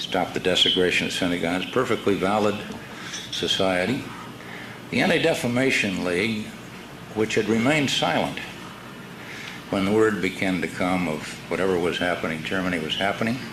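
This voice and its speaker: Over noticeable background noise, a man with an American accent speaks in a very deep, low voice with ordinary pitch variation. He goes at a fairly quick pace but takes long, frequent pauses. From California. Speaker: former congressman. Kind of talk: conference speech.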